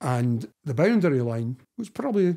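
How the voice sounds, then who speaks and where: A man speaks with lively intonation and a dark, mellow tone, somewhat breathy. The background is quiet. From Scotland, Dundee; Scotland. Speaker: historian and author; guest. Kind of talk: interview conversation. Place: home room.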